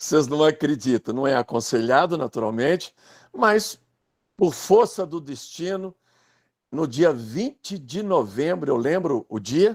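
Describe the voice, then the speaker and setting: A man with a fairly high voice speaks at a fairly slow pace, his pitch swinging very widely, in a very clean, dry, close recording with a silent background and no echo. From Brazil, Minas Gerais (Pedro Leopoldo). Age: 60s. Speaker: writer and biographer. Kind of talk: casual chat.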